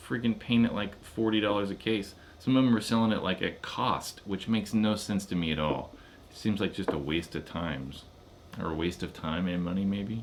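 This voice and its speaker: Here is a man with an unremarkable speaking voice and a fairly low pitch. He moves at a fairly quick pace with ordinary pitch variation. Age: 30s. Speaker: paintball YouTuber. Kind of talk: live stream chat. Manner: casual.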